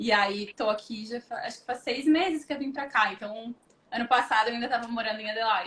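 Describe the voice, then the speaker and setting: This woman's voice sits fairly high with ordinary pitch variation. She moves along at a fairly quick pace. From southern Brazil, Porto Alegre. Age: 30s. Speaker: recruitment professional. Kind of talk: interview on a livestream.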